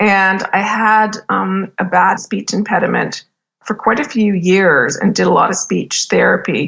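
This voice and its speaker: A woman with a Canadian accent speaks fairly slowly at a medium pitch, her intonation fairly even and her voice carrying vocal fry. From Canada. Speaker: business executive and podcast host. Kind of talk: interview. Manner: casual, filler-heavy speech.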